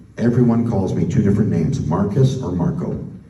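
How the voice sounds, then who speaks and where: A man with a Canadian accent, fairly low in pitch and at a moderate pace, amid audible room echo and noticeable background noise. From Canada. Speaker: spokesperson for an activist group. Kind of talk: public talk to an audience. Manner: casual, conversational.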